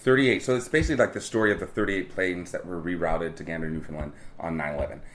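Here a man talks at a very fast pace with lively intonation. His pitch is very deep and low. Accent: American. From California. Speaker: Broadway performer and dance captain. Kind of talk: interview.

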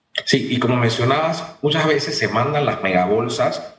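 At a moderate pace and medium pitch, a man talks with ordinary pitch variation in a room with audible echo. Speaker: government agency director. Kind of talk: radio interview.

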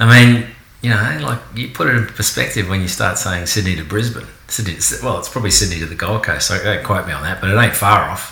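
Delivered at a very fast pace in an Australian accent with ordinary pitch variation, the speech carries audible room echo and noticeable background noise. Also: man, fairly low pitch for a man. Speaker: podcast host, kayak business owner. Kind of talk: casual chat. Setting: at guests' house.

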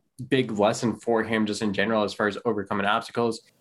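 Over a quiet background, a man with an unremarkable speaking voice talks at a moderate pace and a medium pitch. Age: 30s. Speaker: podcast host and financial planner. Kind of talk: interview.

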